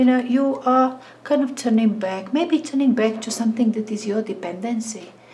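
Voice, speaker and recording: Against noticeable background noise, a woman talks at a moderate pace and fairly high pitch with ordinary pitch variation. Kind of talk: tarot reading monologue. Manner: halting.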